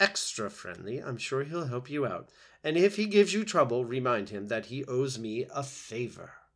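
Someone reads the text aloud in a plain way.

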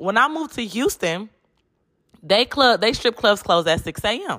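On a very clean recording with a silent background, a woman talks at a moderate pace in an animated tone. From Detroit, US Midwest. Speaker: podcast host. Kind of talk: solo casual monologue. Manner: animated, frequent laughter; stumbling over words at times.

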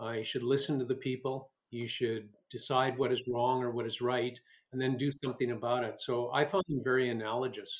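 Here a man speaks in a Canadian Prairie accent at a medium pitch. His delivery is fairly quick and his intonation monotone and flat. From rural Alberta, Canada. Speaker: former politician and physician. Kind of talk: interview.

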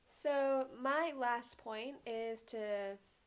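The woman's voice has a high pitch. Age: 20s. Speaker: podcast co-host. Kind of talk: casual chat.

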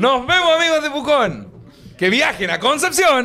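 A raised, projected voice sounds over noticeable background noise. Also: man. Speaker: podcast host. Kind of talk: casual chat. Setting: stage with audience. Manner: animated.

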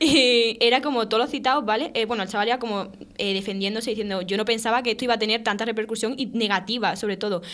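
Speaking at a very fast pace, a woman leaves hardly any pauses. Her pitch is fairly high and her intonation fairly even. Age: 20s. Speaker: podcast host. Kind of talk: casual chat.

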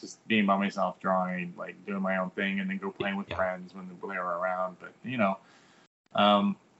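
This man has an ordinary speaking voice with a fairly low pitch. His intonation stays fairly even. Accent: American. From US military bases. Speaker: comic book artist. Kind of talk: casual chat.

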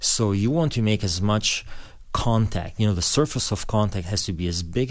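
A man with an Albanian accent, fairly low in pitch, at a moderate pace with ordinary pitch variation. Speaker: pastor. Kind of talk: interview. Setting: studio.

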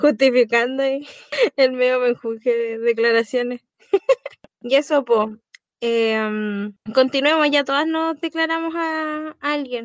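Speaking very slowly with long, frequent pauses, a woman with a Chilean accent uses a high pitch, the sound dry and close with no echo. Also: ordinary pitch variation. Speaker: podcast co-host. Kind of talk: casual chat.

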